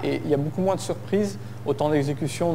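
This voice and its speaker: Audible room echo surrounds the voice. The speech moves at a fairly quick pace. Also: man. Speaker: conference speaker, software developer. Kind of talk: tech conference talk. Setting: stage with audience. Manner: hesitant, many fillers.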